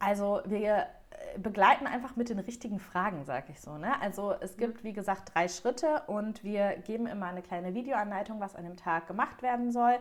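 Noticeable background noise behind a woman speaking at a moderate pace, with ordinary pitch variation and big swings in loudness. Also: medium pitch for a woman. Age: 30s. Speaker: wedding stationery designer. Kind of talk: interview. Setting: podcast.

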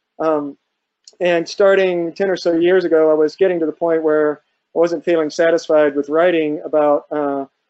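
A man talks with a slightly mellow tone. His pitch moves very little. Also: fairly high pitch for a man, moderate pace.

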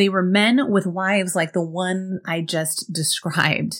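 A woman talks at a fairly slow pace. She has a normal speaking voice. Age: 40s. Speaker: productivity coach and podcast host. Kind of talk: solo podcast monologue.

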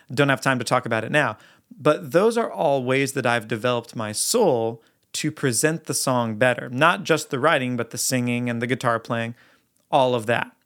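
In a very clean recording with a silent background, a man talks in an ordinary speaking voice at a medium pitch and moderate pace, his pitch varying in an ordinary way. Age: 30s. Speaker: worship leader and songwriter hosting a podcast. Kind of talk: teaching monologue.

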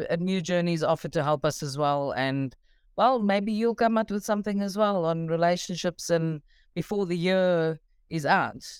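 A woman with a South African accent speaks at a fairly low pitch. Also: ordinary pitch variation, moderate pace. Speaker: parent of recovering addict. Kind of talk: call-in conversation.

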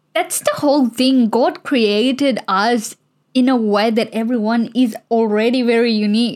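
In a normal speaking voice, a woman talks fairly slowly at a fairly high pitch, with fairly even intonation and very even loudness. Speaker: podcast guest. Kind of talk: casual chat.

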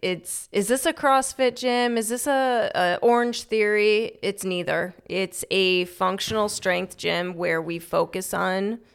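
In an unremarkable speaking voice, a woman speaks at a fairly slow pace. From Chicago. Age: 30s. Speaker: personal trainer and gym owner. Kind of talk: casual interview.

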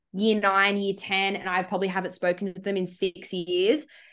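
With an Australian accent, a woman talks using fairly even intonation. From Sydney, Australia. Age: 20s. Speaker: psychology student and social enterprise founder. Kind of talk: casual interview.

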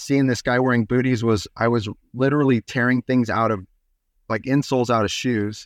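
In a very clean recording with a silent background, a man at medium pitch comes across dry and close with no echo. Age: 40s. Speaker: minimalist sandal maker and company founder. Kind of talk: casual interview.

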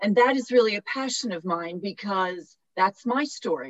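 At a fairly slow pace, a woman with a medium pitch and lively intonation speaks in a normal speaking voice. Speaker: professor and HR expert. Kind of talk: panel discussion advice. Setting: video call.

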